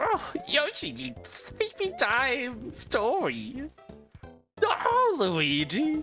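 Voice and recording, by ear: A man's raspy, put-on character voice at an extremely high pitch and a very slow pace, with faint music in the background.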